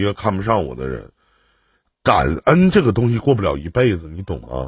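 A man's somewhat breathy voice, fairly low in pitch, with very wide pitch swings and a fairly quick pace. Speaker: relationship advice host. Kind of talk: call-in advice chat.

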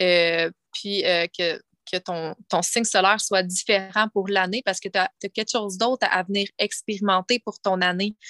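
A woman with a bright, sharp tone and medium pitch speaks at a fairly slow pace with fairly even intonation. The sound is dry and close, with no echo. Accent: Quebec. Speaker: spiritual coach and former hairdresser. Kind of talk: casual interview chat. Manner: halting, many repetitions.

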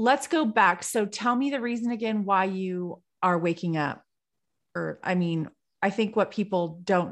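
A woman talks in a normal speaking voice with an American accent. Her intonation is lively and her pace moderate. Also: quiet background. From California. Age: 40s. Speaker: podcast co-host, salon owner. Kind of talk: casual chat.

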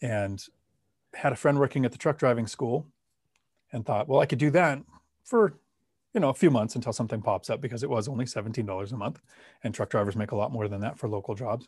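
Speaking at a very fast pace with long, frequent pauses, a man with a medium-pitched, somewhat breathy voice and ordinary pitch variation is heard in a very clean recording against a silent background. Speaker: Marine veteran and real estate investor. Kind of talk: interview.

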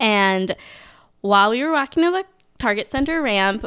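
In a Minnesotan accent, a woman speaks with medium pitch, lively intonation and a bright, sharp tone. The recording is very clean with a silent background and a dry, close sound with no echo. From Minnesota, US. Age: 20s. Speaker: accountant. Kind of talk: casual chat.

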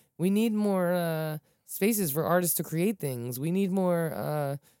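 On a very clean recording with a silent background, a woman with a plain, everyday voice speaks at a moderate pace and a fairly low pitch, with ordinary pitch variation. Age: 40s. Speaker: podcast host. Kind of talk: casual chat.

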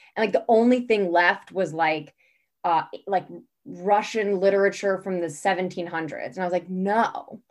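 With an American accent, a woman in an unremarkable speaking voice talks at a moderate pace and medium pitch, her intonation fairly even. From California. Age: 20s. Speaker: health coach and distance runner. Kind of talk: casual chat.

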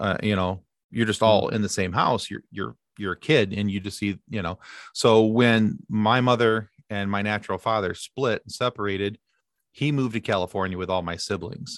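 A man's fairly low voice, moderate in pace and fairly even in intonation, dry and close with no echo against a quiet background. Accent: Midwestern American. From Michigan, US. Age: 40s. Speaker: podcast host. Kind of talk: casual chat.

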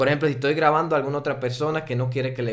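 With a Dominican accent, a man talks in a fairly even intonation. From Dominican Republic. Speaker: drone pilot and video creator. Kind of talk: casual interview chat.

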